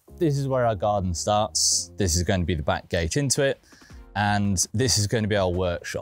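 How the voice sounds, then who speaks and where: Faint music in the background and a dry sound with no echo. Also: man. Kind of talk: tutorial walkthrough. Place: garden.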